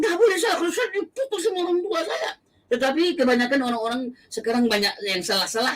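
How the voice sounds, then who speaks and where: Using a raised, projected voice, a man talks at a very fast pace with very wide pitch swings. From Aceh, Indonesia. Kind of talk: testimony.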